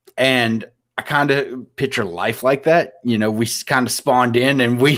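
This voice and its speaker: This man has an ordinary speaking voice at medium pitch, delivered at a moderate pace with fairly even intonation. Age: 30s. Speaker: podcast host. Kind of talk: casual chat.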